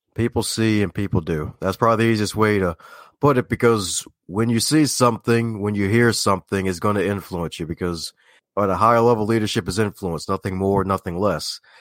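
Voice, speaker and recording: A man with a slight Southern US accent and a fairly low pitch, talking at a moderate pace with ordinary pitch variation, in a dry, close sound with no echo. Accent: American with slight Southern twang. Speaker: self-help author and speaker. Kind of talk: interview. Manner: like a news broadcaster.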